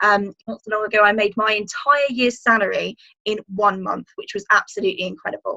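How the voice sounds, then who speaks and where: A woman speaks fairly quickly in a fairly high, bright, sharp voice with fairly even intonation. The sound is dry and close, with no echo. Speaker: business coach. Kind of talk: webinar presentation. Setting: live webinar. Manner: fast when passionate.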